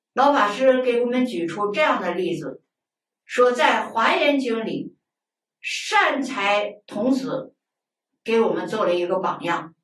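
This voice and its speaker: A woman speaks at a very slow pace, with audible room echo around her. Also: fairly high pitch for a woman. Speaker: Buddhist lay teacher. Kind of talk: lecture. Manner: colloquial, conversational asides. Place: studio.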